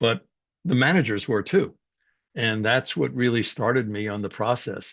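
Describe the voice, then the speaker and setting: Against a quiet background, a man with a medium pitch and some vocal fry talks at a moderate pace with lively intonation. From New York City, Greek immigrant family. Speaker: psychology professor. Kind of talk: personal story in a talk.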